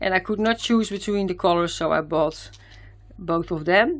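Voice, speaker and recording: This woman speaks in a Dutch accent at a moderate pace. Her pitch varies in an ordinary way. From Netherlands. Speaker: craft youtuber. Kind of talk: product haul video. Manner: hesitant, many fillers. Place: home room.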